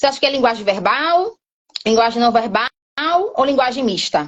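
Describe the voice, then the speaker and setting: Animated in tone, a woman speaks at a high pitch with very wide pitch swings. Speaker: sign language teacher. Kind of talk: live online class.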